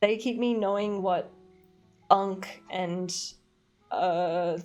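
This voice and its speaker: An animated woman with an Australian accent and a medium pitch. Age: 20s. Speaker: streamer. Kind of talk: casual chat. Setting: live stream. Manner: chatty, animated.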